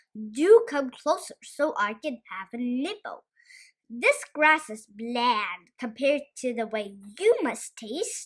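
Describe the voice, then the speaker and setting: Using a whiny, put-on character voice, a woman speaks at a high pitch and a fairly slow pace. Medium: read story. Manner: whining.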